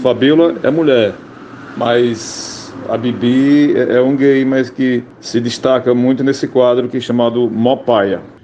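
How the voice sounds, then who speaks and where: A man speaks at a fairly slow pace with fairly even intonation. Noticeable background noise can be heard. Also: medium pitch for a man. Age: 60s. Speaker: radio comedian. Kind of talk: interview.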